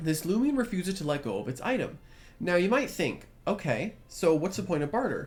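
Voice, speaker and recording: The speech is quiet and comes at a fairly quick pace. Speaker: gaming youtuber. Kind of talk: gameplay commentary. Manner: quiet, subdued; casual, filler-heavy.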